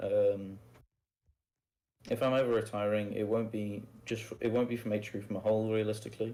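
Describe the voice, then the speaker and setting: A man's dark, mellow voice, fairly low in pitch, at a fairly quick pace with flat, monotone intonation. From northern England. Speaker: roleplay game player interviewed on podcast. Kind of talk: casual interview.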